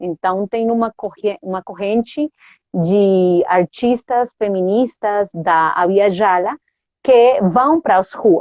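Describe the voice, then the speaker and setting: A woman with a Spanish accent, very slow pace and ordinary pitch variation. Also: medium pitch for a woman. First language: Spanish (speaking Portuguese). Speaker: theatre artist and academic. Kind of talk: interview. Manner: halting, many fillers.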